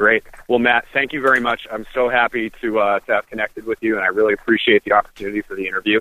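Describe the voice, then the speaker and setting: Very fast, monotone speech from a man with an American accent, the intonation flat. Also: medium pitch for a man. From Massachusetts, Cape Cod. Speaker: cannabis accessory company founder. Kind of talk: casual interview.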